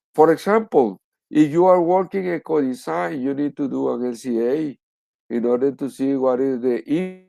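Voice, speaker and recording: A man with a Spanish accent speaks at a moderate pace in a dark, mellow tone. His pitch is fairly high and his intonation lively against a quiet background. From Spanish-speaking country. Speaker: professor. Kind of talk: lecture. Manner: halting.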